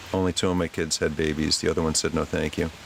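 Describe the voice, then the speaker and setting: Noticeable background noise sits behind a man speaking at a moderate pace. His pitch is very deep and low. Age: 60s. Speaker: livestreamer. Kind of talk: casual chat. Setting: outdoors.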